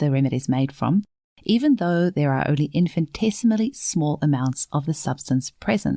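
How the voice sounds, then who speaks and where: A woman with a New Zealand accent, very deep and low in pitch, lively in intonation and fairly quick, on a very clean recording with a silent background. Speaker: podcast host, homeopath. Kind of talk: podcast interview; scripted intro. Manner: animated.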